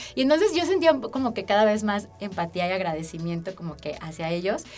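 A woman moves at a fairly quick pace while her pitch swings very widely. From Aguascalientes, Mexico. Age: 20s. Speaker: social activist and podcast co-host. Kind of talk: interview storytelling.

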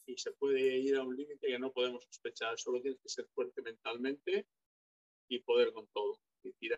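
A man at a moderate pace, with big swings in loudness, in a dry, close sound with no echo. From Galicia, Spain. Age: 50s. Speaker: retired bodybuilder. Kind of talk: interview.

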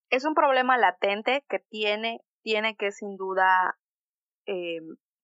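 Medium pitch from a woman, with ordinary variation in that pitch. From Yucatán, Mexico. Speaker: student activist. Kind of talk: interview podcast. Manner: impassioned.

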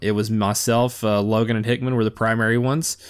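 At a moderate pace, a man speaks at medium pitch in an unremarkable speaking voice. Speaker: podcast host. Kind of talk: casual solo monologue.

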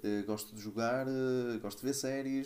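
Dark and mellow in tone, this voice goes along at a fairly quick pace. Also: man. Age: 30s. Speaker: podcast co-host. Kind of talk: casual chat.

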